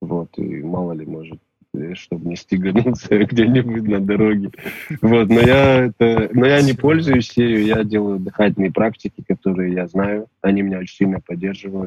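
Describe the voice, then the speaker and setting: A man's fairly low voice, a normal speaking voice, at a moderate pace with ordinary pitch variation. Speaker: musician. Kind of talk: casual chat.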